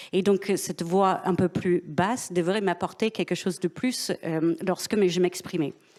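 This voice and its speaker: A woman with an unremarkable speaking voice talks at a fairly slow pace with hardly any pauses, her medium pitch, very even loudness and fairly even intonation holding throughout. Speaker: business executive. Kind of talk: panel discussion.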